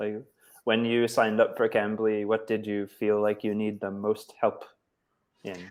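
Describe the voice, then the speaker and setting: Speaking at a fairly slow pace, a man with an American accent holds a medium pitch. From United States. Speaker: online English tutor. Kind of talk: casual chat.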